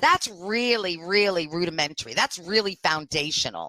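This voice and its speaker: Loud and animated, a woman with a Canadian accent talks at a moderate pace and medium pitch. Her bright, sharp tone and lively intonation sit in a dry, close sound with no echo. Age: 50s. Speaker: diversity and inclusion consultant. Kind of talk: podcast interview.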